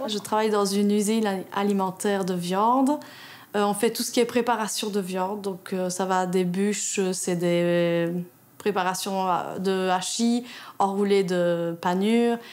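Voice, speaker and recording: Here is a woman with a plain, everyday voice and medium pitch. Her pace is fairly slow and her intonation fairly even. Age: 30s. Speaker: union delegate, factory worker. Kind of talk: interview testimony.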